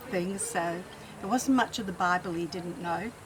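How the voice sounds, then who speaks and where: Over noticeable background noise, a woman talks in a fairly low voice. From England, Nottinghamshire, then Adelaide from age 13. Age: 70s. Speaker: interviewee telling life story. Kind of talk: oral history interview. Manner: casual, hesitant with fillers.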